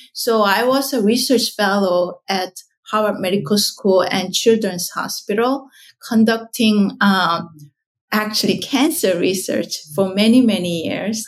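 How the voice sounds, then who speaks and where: Speaking at a fairly slow pace with a Korean accent, a woman shows ordinary pitch variation. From South Korea. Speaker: skincare company founder and scientist. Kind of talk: interview conversation. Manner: halting, with fillers.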